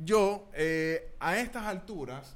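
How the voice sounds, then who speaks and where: This is a man speaking. Room echo is audible. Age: 30s. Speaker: podcast co-host. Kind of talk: casual chat.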